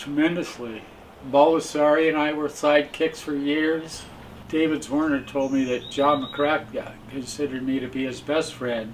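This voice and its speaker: Fairly even intonation and a moderate pace mark this voice with an American accent, heard over noticeable background noise. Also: man, fairly high pitch for a man. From California. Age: 80s+. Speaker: abstract painter. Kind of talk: interview reminiscence. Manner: halting with repetitions.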